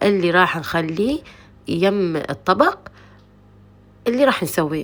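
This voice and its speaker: A woman's voice with lively intonation. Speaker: cooking channel host. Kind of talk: cooking tutorial. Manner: casual, chatty.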